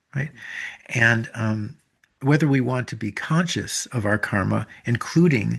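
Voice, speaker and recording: A man speaks fairly slowly at a medium pitch with ordinary pitch variation. His voice is somewhat breathy against a quiet background. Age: 70s. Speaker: author and teacher of a Japanese self-reflection practice. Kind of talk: interview conversation. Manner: halting, with many fillers and restarts.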